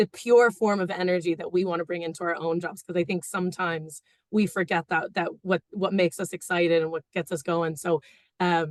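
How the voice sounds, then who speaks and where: A woman with an American accent speaks at a fairly quick pace and fairly low pitch with fairly even intonation, in a dry, close sound with no echo. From United States. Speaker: engineer, award finalist. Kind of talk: panel interview. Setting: webinar video call.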